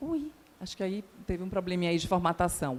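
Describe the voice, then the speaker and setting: A woman in a Bahian accent speaks at a moderate pace and a medium pitch. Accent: Bahian Brazilian Portuguese. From Bahia, Brazil. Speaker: psychologist, conference speaker. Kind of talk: conference talk. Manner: hesitant, many filler words.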